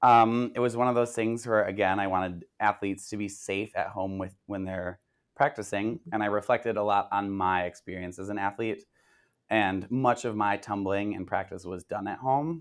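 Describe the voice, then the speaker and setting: Here a man with an American accent uses a plain, everyday voice, fairly low in pitch and moderate in pace. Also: very clean recording, silent background. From Minnesota. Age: 20s. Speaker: tumbling and cheer coach. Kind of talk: interview.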